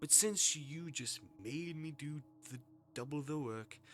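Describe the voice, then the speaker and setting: Breathy and fairly high in pitch, a man does a put-on character voice at a fairly slow pace with music in the background. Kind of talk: dramatic game reading. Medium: game stream. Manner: soothing, seductive, menacing.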